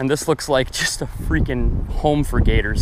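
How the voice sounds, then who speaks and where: A man speaks with fairly even intonation, the sound dry with no echo, against noticeable background noise. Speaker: fishing vlogger. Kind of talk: casual vlog chat. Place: waterside.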